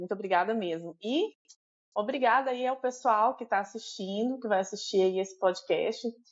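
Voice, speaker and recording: A woman's fairly high voice moves at a fairly slow pace, showing ordinary pitch variation. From Brazil, Belo Horizonte (Minas Gerais). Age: 40s. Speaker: immigrant guest. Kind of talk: casual interview. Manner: halting, many fillers.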